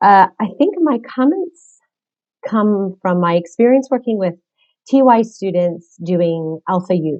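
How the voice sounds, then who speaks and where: An ordinary speaking voice from a woman, medium in pitch, fairly slow in pace, with lively intonation. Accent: American. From United States. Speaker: religious sister and catechist. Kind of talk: webinar discussion.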